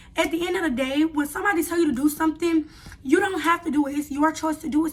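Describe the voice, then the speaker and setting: A woman speaks at a very fast pace. Her pitch is high and her intonation fairly even. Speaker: YouTuber, reality show contestant. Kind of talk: casual vlog storytelling. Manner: halting at times.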